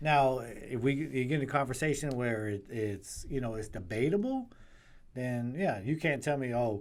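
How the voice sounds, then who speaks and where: Audible room echo surrounds a man speaking at medium pitch. He keeps a moderate pace with ordinary pitch variation. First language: not English. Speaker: podcast co-host. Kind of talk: casual chat.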